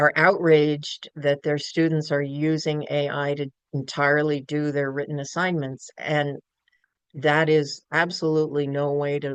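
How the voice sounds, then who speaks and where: With an American accent, a woman talks at a moderate pace in a very deep, low pitch. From New York City. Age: 60s. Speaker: professor. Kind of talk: lecture. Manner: halting.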